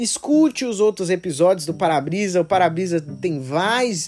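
A man's high-pitched voice with a dark, mellow tone, lively intonation and a fairly slow pace. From Brazil, Minas Gerais (Betim). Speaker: podcast host. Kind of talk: casual solo monologue. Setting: countryside. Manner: hesitant with many fillers.

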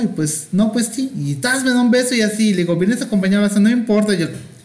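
Very fast talk from a man, with noticeable background noise and audible room echo. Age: 40s. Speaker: guest, friend of host. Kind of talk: casual chat. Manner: campy, playful.

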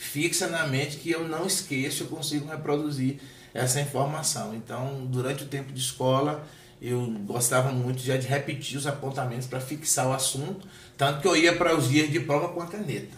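Amid noticeable background noise and audible room echo, a man with a fairly high pitch talks at a moderate pace with fairly even intonation. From Bahia, Brazil (Salvador). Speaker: pastor. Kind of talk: interview conversation.

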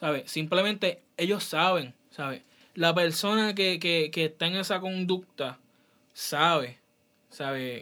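A man speaks at a very slow pace. His voice is high-pitched with a bright, sharp tone. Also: ordinary pitch variation. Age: 20s. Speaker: podcast host. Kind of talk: casual chat.

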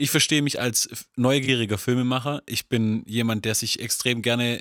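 A man's medium-pitched voice at a moderate pace, with fairly even intonation and a dry, close sound with no echo. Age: 20s. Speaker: podcast co-host, filmmaker. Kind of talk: casual chat. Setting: studio.

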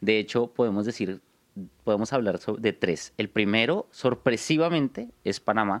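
The speaker talks at a moderate pace with a Bogotá accent. The sound is dry and close, with no echo. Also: man. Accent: Colombian Spanish (Bogotá). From Bogotá, Colombia. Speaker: podcast co-host, investor. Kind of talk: casual chat.

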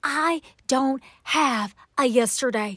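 Delivered with a Southern US accent, the voice has lively intonation and an animated, warm tone. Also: woman. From Atlanta, Georgia. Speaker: prayer podcast host. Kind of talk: encouraging prayer talk.

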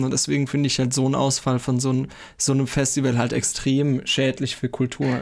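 The intonation stays monotone and flat. It is a very clean recording with a silent background. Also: man. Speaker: podcast host. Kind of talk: casual interview.

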